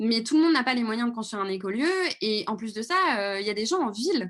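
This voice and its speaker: Fairly quick, somewhat breathy delivery with lively intonation. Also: woman. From Paris region, France. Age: 20s. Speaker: video reporter and activist. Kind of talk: live Q&A answer. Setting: video call livestream. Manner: hesitant, many fillers.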